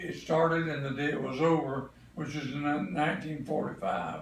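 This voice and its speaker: A man's fairly high voice with a Southern US accent, ordinary pitch variation and a moderate pace, amid noticeable background noise and audible room echo. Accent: Southern US (Georgia). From Atlanta, Georgia, US South. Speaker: grandparent interviewed about family history. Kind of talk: family oral history interview.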